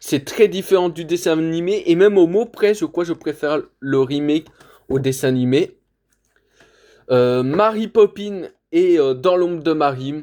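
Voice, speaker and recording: A man speaks at a high pitch with a dark, mellow tone and ordinary pitch variation. His pace is fairly slow with long, frequent pauses, on a very clean recording with a silent background. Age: 20s. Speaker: video collector reviewer. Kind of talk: casual collection showcase. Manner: loud; hesitant, many fillers.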